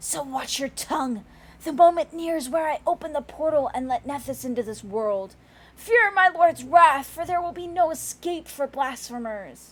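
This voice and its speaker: Using a put-on character voice with a hissing sound, a woman speaks at a high pitch and a moderate pace. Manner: menacing.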